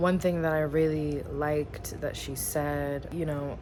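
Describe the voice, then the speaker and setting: Very slow speech from a woman with a very deep, low pitch, plus audible room echo. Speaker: vlogger. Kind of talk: casual vlog.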